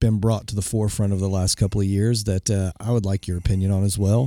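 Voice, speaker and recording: Speaking very fast with an Oklahoma accent, a man has a dark, mellow tone on a very clean recording with a silent background. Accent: Oklahoma Southern US. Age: 40s. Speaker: podcast host and minister. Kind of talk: interview.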